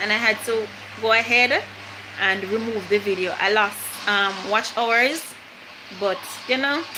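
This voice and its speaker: With a Jamaican accent, the speaker talks at a fairly slow pace with fairly even intonation over noticeable background noise. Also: woman. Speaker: vlogger. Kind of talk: casual chat.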